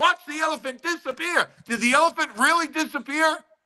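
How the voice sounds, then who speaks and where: A man speaks at a moderate pace in a raised, projected voice, his tone bright, sharp and animated. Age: 60s. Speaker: actor. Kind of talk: casual chat.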